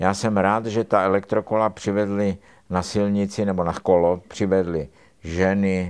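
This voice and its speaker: A man speaks at a fairly slow pace in a very deep, low pitch. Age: 80s+. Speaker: surgeon, professor. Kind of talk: casual chat. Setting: motorcycle shop in Prague.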